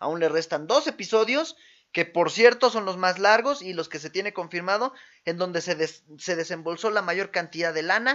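A man speaks in an animated tone with a Mexican accent. His pitch is high. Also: ordinary pitch variation, moderate pace. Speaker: podcast co-host. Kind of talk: casual chat.

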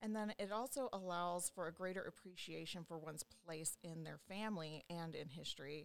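An unremarkable speaking voice: a woman with an American accent, fairly low in pitch, talking at a moderate pace with ordinary pitch variation and hardly any pauses. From Louisiana, US South. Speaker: genealogist. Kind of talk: casual interview chat.

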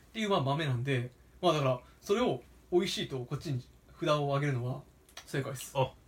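A man talks in a fairly high pitch with ordinary pitch variation. Long, frequent pauses break up his speech, and there is noticeable background noise. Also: fairly quick pace. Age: 20s. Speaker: podcast co-host and coffee roaster. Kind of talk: casual chat.

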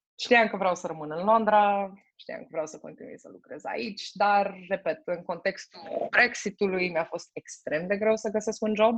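In an ordinary speaking voice, a woman talks at a fairly slow pace with medium pitch and ordinary pitch variation. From Romania. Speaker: logistics manager. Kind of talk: interview.

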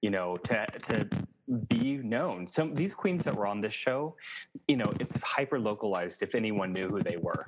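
With lively intonation, a man speaks in an ordinary speaking voice, fairly low in pitch, at a moderate pace. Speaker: podcast producer. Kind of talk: casual chat.

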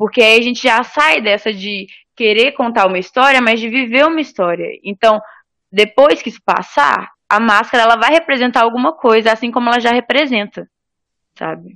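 A woman talks at a moderate pace in a fairly high voice with a bright, sharp tone and ordinary pitch variation, recorded very cleanly against a silent background. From Espírito Santo, Brazil (Cariacica). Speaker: theatre podcast co-host. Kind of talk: casual chat.

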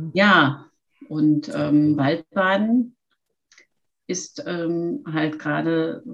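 A woman is speaking. She leaves long, frequent pauses. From Lower Rhine region, Germany. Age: 50s. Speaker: forest bathing instructor and yoga teacher. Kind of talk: interview.

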